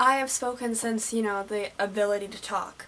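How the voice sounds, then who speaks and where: Speaking with a French accent, a woman has an animated tone. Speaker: book vlogger. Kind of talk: casual vlog.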